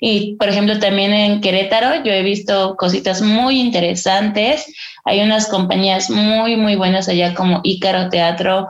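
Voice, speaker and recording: Audible room echo surrounds a woman speaking at a fairly slow pace. Her pitch is medium, with ordinary variation and very even loudness. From Mexico, Estado de México (Ixtapaluca). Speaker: stage actress. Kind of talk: interview.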